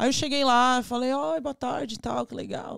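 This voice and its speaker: A woman talks fairly quickly. The audio is very clean, and the background is silent. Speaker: ice pop business owner. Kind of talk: casual chat.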